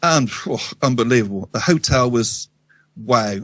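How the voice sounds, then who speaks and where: In a dry, close recording with no echo, a man of medium pitch speaks with a Wiltshire accent. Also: quiet background. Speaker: radio show guest. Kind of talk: casual storytelling interview. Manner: halting, many ums and restarts.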